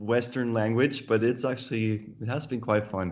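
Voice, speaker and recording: A man speaks in a Swiss German accent. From Switzerland, Zurich area. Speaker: author. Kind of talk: interview. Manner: halting, with self-corrections.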